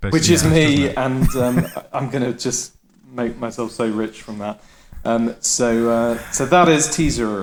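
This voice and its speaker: At a fairly slow pace, the speaker uses a plain, everyday voice with ordinary pitch variation. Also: man, medium pitch for a man. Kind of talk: comedic pitch in podcast.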